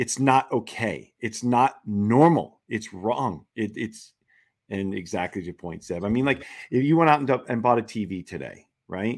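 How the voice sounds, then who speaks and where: Over a very clean recording with a silent background, a man speaks at medium pitch and a moderate pace in a plain, everyday voice with lively intonation. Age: 50s. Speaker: institutional investor. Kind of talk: casual panel chat.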